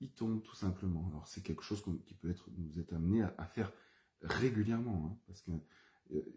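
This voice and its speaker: Somewhat breathy and very deep, a man's dark, mellow voice moves at a fairly quick pace, broken by long, frequent pauses. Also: ordinary pitch variation, big swings in loudness. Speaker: herbalist and aromatherapy trainer. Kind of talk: live-streamed teaching session. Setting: Facebook live video. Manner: calmer, more settled voice now; halting, many fillers and repetitions.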